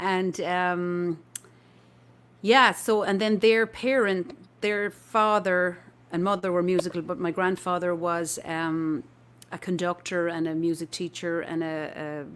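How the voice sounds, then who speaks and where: In a very clean recording with a silent background, a woman with an Irish accent talks at a fairly slow pace, her fairly low pitch showing ordinary variation. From Ireland, near Limerick. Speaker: folk musician. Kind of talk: casual interview chat.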